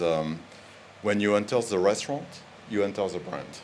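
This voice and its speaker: A man speaks in a French accent at a fairly low pitch with fairly even intonation. There is audible room echo. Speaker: fast food brand executive. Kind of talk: panel discussion. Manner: halting, many fillers.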